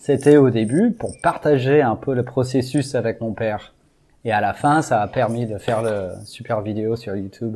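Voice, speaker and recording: His voice dark and mellow, a man speaks fairly slowly at a medium pitch with ordinary pitch variation. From US, Texas (Houston). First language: English (speaking French). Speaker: amateur baseball field builder. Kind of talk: interview.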